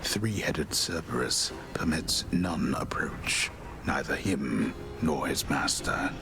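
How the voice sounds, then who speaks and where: A man's cartoonish character voice, very deep and low in pitch, at a fairly slow pace over loud background noise. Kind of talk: epic poetic narration. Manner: grandiloquent, measured.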